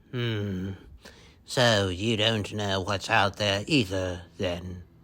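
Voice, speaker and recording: A man speaks very slowly in a put-on character voice with a fairly low pitch. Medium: read story. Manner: terse.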